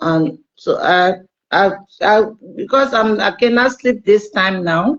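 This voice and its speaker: A woman is speaking. She has a Liberian accent. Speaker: caller. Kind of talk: casual chat. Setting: video call. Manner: halting.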